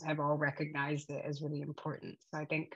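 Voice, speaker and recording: A woman with a very deep, low pitch speaks with an American accent. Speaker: yoga and eating disorder recovery nonprofit host. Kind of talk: casual chat. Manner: halting.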